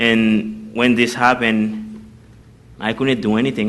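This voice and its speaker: A man's medium-pitched, monotone voice with flat intonation, at a fairly slow pace and with audible room echo. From Haiti. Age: young. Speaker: college student. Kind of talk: testimony. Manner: halting.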